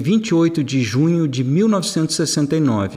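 A man is speaking. His intonation is lively. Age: 60s. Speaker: author and financial commentator. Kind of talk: scripted narration.

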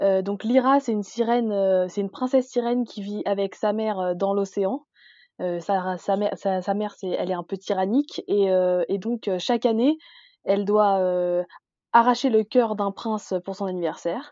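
Using an unremarkable speaking voice, a woman talks at medium pitch and a moderate pace, with ordinary pitch variation. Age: 20s. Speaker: book blogger. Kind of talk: casual chat.

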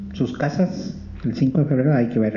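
At a moderate pace, a man speaks at a fairly high pitch with ordinary variation. Background noise is noticeable. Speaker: radio host. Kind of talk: casual chat. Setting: live broadcast from a library.

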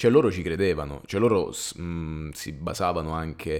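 In a very clean recording with a silent background, a man talks at a fairly slow pace with a very deep, low pitch. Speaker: podcast co-host. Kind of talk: casual chat. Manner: halting.

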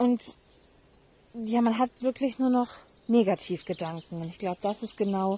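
Her tone is dark and mellow, somewhat breathy. The woman's intonation stays fairly even. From northern Germany, Hamburg. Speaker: podcast host. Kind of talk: personal monologue. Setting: outdoors in garden.

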